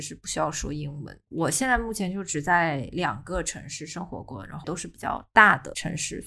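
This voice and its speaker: This woman has a plain, everyday voice, fairly low in pitch, with lively intonation. The recording is very clean, with a silent background. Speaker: office worker. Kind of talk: casual chat.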